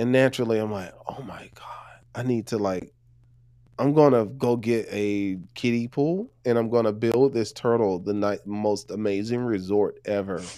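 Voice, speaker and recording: A man's dark, mellow voice at a medium pitch, with a moderate pace, ordinary pitch variation and a very clean recording over a silent background. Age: 30s. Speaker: life coach and podcaster. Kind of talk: casual chat.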